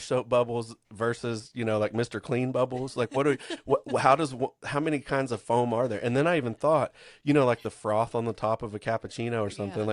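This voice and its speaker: A man with a Kentucky accent at medium pitch, talking at a fairly quick pace over a quiet background, the sound dry and close with no echo. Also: fairly even intonation. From Kentucky, US.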